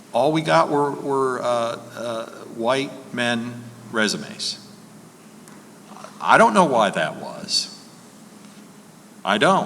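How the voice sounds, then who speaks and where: Very slow, calm speech with long, frequent pauses and lively intonation, over noticeable background noise and audible room echo. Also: man, medium pitch for a man. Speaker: lawyer, panelist. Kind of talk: conference Q&A panel. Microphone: far from the mic, moved closer.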